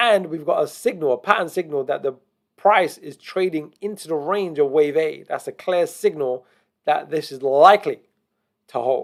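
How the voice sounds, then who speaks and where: The speaker has an unremarkable speaking voice with ordinary pitch variation and a moderate pace. Loudness swings in a big way. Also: man, fairly high pitch for a man. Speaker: crypto trading analyst. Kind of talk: tutorial.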